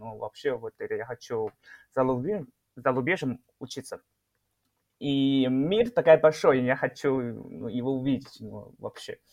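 A man's medium-pitched voice with a Chinese accent, a very slow pace and ordinary pitch variation. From northeast China, Shenyang. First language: Chinese (speaking Russian). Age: 20s. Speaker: chemistry PhD student, Chinese teacher. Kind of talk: interview. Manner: halting.

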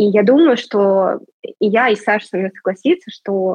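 A woman speaks in an unremarkable speaking voice, medium in pitch with ordinary pitch variation. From Russia. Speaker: music marketing agency manager. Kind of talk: casual interview.

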